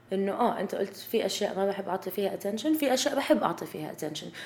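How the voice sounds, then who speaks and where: A woman with a medium-pitched voice and ordinary pitch variation talks while noticeable noise runs in the background. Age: 20s. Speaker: podcast host. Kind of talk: casual chat.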